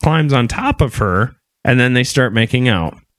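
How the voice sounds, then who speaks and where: An ordinary speaking voice from a man at medium pitch, with lively intonation and a dry, close sound with no echo. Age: 30s. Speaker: podcast host. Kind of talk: casual chat; reading aloud.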